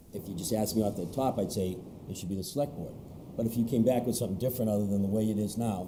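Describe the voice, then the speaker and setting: In a room with audible echo, a man with a fairly low voice speaks very fast with ordinary pitch variation. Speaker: select board chair. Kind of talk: heated debate.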